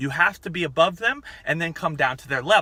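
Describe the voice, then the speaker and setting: Speaking at a fairly quick pace, a man has a high pitch and a bright, sharp tone. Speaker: fitness coach. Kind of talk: tutorial. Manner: loud.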